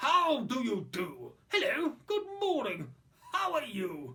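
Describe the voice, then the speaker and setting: In a put-on character voice, the speaker talks with a high pitch at a fairly slow pace. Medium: read story. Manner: boastful, jolly.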